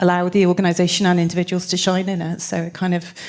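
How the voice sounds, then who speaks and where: A woman with a fairly low pitch talks at a very fast pace in a very clean recording with a silent background. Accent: slight Welsh. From South Wales. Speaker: business consultant, former tech executive. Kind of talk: panel conversation on stage.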